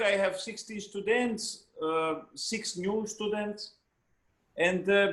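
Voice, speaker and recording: A man with a Hungarian accent talks at a very slow pace. His pitch is high, with ordinary variation. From Hungary. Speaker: trumpet player and teacher. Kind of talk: interview. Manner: halting, with many repetitions.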